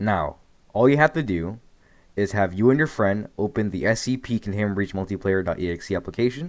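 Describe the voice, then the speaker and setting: This man has a fairly low pitch and lively intonation. The recording is very clean, with a silent background. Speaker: gaming tutorial youtuber. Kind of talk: tutorial. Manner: fast; casual.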